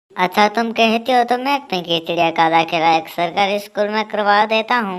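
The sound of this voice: A female-sounding voice performs a cartoonish character at a moderate pace. The pitch sits at a medium level for a woman.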